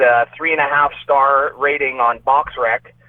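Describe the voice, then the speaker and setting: Noticeable background noise accompanies a man with a fairly high pitch speaking at a fairly slow pace. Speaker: boxer. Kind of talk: casual chat.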